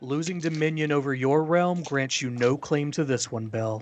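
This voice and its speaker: The speaker puts on a booming character voice. The pace is moderate. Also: man, fairly high pitch for a man. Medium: actual play. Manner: solemn, commanding.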